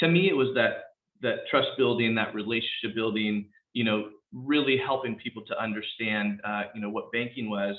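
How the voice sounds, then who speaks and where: A man with a Californian accent speaks at a moderate pace, his voice at a medium pitch with ordinary pitch variation. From San Rafael, California (Marin County). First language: Spanish. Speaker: police captain. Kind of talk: panel talk.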